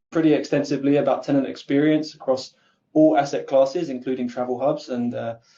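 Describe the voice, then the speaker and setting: A man with an Essex accent and a dark, mellow tone. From England, Essex. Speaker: content marketer. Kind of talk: webinar panel talk. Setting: online webinar.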